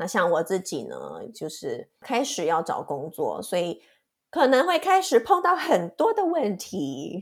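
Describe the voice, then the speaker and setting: A woman's fairly high voice with vocal fry, very wide pitch swings and a fairly slow pace. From Taiwan. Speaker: podcast co-host, master's student. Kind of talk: casual chat.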